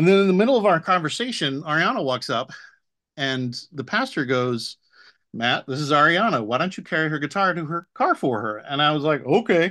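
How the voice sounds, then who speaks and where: Bright and sharp in tone, the voice moves at a fairly quick pace with very wide pitch swings against a quiet background. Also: man, fairly high pitch for a man. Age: 40s. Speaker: software engineer. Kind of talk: casual chat.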